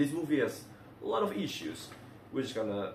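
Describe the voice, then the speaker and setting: A man speaks in a somewhat breathy voice. Room echo is audible. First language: not English. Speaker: movie reviewer. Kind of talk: casual video review. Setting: recording at home in a bathroom. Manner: halting, many fillers and restarts.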